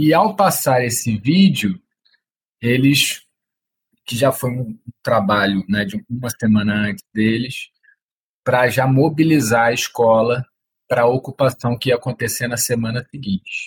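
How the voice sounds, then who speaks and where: A man with a medium-pitched, somewhat breathy voice speaks at a fairly slow pace with ordinary pitch variation and long, frequent pauses, recorded dry and close with no echo. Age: 30s. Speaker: activist and former teacher. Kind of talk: interview.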